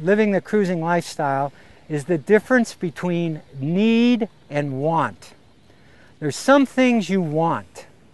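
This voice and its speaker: A man talks with an American accent at a fairly slow pace. His voice is high-pitched, with lively intonation. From US, Pittsburgh, Pennsylvania. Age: 60s. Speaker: long-distance sailor. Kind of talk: casual interview. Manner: halting, many fillers and repeats.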